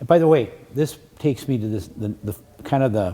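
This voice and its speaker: A man with a dark, mellow tone speaks somewhat breathily at a moderate pace, his intonation lively. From Wisconsin. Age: 60s. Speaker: attorney. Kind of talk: lecture. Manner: repetitive stammering restarts.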